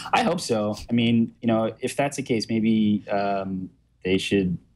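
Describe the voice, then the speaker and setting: A man's medium-pitched voice with a Brooklyn accent at a fairly slow pace. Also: very even loudness. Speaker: tech journalist. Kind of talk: interview. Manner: many fillers (um, you know).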